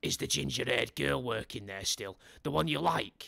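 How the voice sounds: A man puts on a character voice, very deep and low in pitch, with very wide pitch swings. He speaks at a moderate pace.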